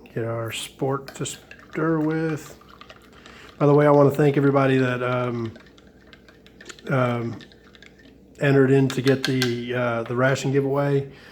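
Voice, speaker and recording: The speech is broken by long, frequent pauses, with noticeable background noise throughout. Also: fairly slow pace. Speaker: ration reviewer. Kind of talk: casual talk to camera.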